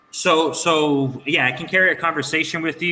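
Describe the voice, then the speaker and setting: The intonation stays monotone and flat. Background noise is noticeable throughout. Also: man. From Canada, Toronto. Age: 30s. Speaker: online English tutor. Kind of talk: casual chat.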